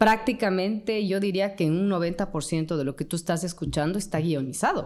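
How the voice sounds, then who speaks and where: With an Ecuadorian accent, a woman speaks at a fairly quick pace in a medium pitch with ordinary pitch variation. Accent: Ecuadorian Spanish, unchanged. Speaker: journalist and radio presenter. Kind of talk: interview conversation.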